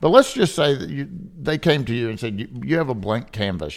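Speaking at a fairly quick pace, a man's medium-pitched voice carries vocal fry. His pitch swings very widely. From Kentucky. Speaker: podcast host, appraiser. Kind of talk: interview podcast.

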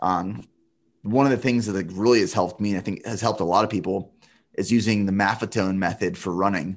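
Speaking at a very fast pace with an American accent, a man with a fairly low pitch keeps his intonation fairly even over a quiet background. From Central Pennsylvania. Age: 30s. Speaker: endurance athlete and business owner. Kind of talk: interview conversation.

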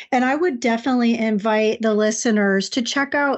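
Speaking at a moderate pace, a woman with an unremarkable speaking voice keeps a fairly high pitch and fairly even intonation. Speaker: podcast co-host. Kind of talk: casual podcast conversation.

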